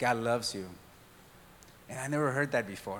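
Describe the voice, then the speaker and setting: The voice has a bright, sharp tone and a Spanish accent, with audible room echo. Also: man. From Mexico. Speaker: church diversity and outreach worker. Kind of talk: church talk. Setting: church service with congregation.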